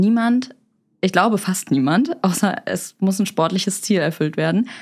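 On a very clean recording with a silent background, a woman with a normal speaking voice talks at a medium pitch and moderate pace, using ordinary pitch variation. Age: 20s. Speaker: online marketing expert. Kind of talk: expert interview.

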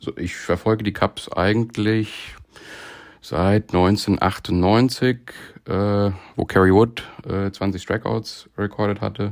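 Speaking at a very slow pace, a man keeps his intonation fairly even and his pitch fairly low. The recording is very clean with a silent background. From Frankfurt area, Hesse, Germany. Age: 30s. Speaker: amateur baseball player, fan contributor. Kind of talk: recorded monologue season review.

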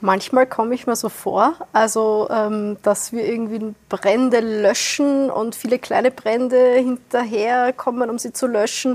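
Noticeable background noise sits behind a woman's fairly high voice. She speaks at a fairly slow pace with fairly even intonation. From Austria, Wiener Neustadt south of Vienna. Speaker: environmental organisation director. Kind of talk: panel discussion. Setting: venue in Vienna, filmed.

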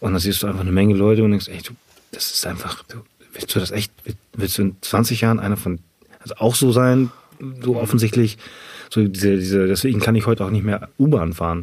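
A man with a fairly low voice speaks at a fairly quick pace and fairly even intonation. He leaves long, frequent pauses. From northern Germany, Ahrensburg near Hamburg. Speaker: personal trainer and CrossFit athlete. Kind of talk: interview, casual chat.

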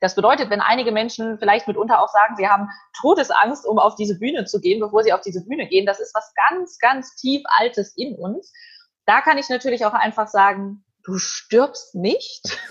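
A woman speaks in a somewhat breathy, fairly high voice with lively intonation. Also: moderate pace. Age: young. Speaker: event host and journalist. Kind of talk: interview. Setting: video call.

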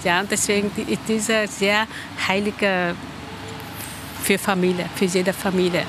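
A woman's medium-pitched, monotone, flat delivery at a moderate pace, with long, frequent pauses and noticeable background noise. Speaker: member of a Vietnamese Buddhist community. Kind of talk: interview. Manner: halting.

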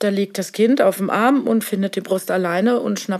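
A woman talks with ordinary pitch variation. It is an unremarkable speaking voice. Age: 50s. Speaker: nurse. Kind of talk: casual interview. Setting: office.

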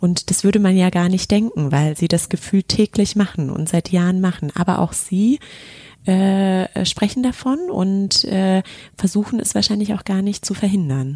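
Woman's medium-pitched, somewhat breathy voice with a dark, mellow tone, ordinary pitch variation, moderate pace, dry and close with no echo. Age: 30s. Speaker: podcast host and business manager. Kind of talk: casual chat. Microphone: poor sound quality in first episode.

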